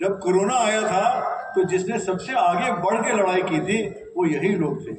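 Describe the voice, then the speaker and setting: Crowd noise fills the background as a man speaks in a high voice, with audible room echo around him. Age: 70s. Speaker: state disaster management official. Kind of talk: speech to trainees.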